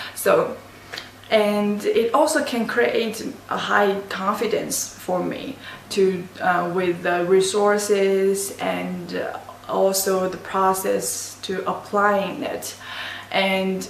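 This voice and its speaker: A woman speaks with an Asian accent. There is noticeable background noise and audible room echo. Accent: non-native English, Asian. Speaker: university student. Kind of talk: class presentation. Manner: halting, many restarts.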